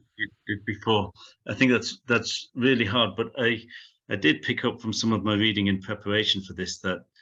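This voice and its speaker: A man speaks at a moderate pace in a bright, sharp tone with fairly low pitch. His intonation stays fairly even, and the background is quiet. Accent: Sheffield. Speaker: professor. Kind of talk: Q&A after lecture. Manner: halting with many fillers.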